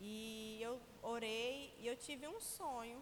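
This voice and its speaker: The speaker's pitch varies in an ordinary way, and the room echo is audible. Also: woman. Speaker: preacher. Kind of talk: sermon. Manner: slurred speech.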